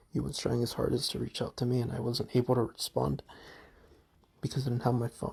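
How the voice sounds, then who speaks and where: Dark and mellow in tone, the somewhat breathy voice goes at a fairly quick pace. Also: man. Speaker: gamer explaining his ban and recovery. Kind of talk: personal testimony. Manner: unscripted with many ums.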